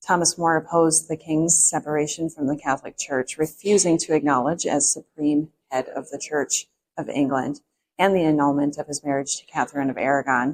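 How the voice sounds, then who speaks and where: A woman with a very deep, low voice talks at a moderate pace with fairly even intonation, in a dry, close sound with no echo. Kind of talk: reading from a card on location.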